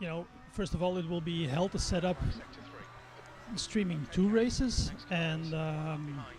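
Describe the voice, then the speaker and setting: A man with a Flemish accent talks at a fairly slow pace, leaving long, frequent pauses. His pitch is high, with ordinary variation, and music plays in the background. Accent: Belgian (Flemish) English. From Belgium. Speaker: sim racing streamer. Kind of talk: casual live-stream chat while racing. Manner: halting, many fillers.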